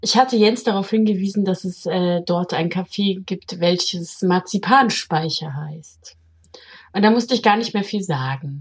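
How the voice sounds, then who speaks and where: A woman talks at a medium pitch with a somewhat breathy quality. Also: ordinary pitch variation, fairly slow pace. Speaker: podcast co-host. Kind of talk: casual chat.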